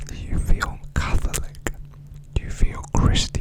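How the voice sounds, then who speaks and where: Noticeable background noise surrounds a man who is whispering. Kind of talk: ASMR book reading, educational. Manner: soft-spoken.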